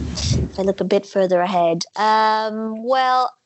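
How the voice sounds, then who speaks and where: The speaker has a Dutch accent and fairly even intonation. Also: woman. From Netherlands. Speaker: coffee industry professional. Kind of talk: interview.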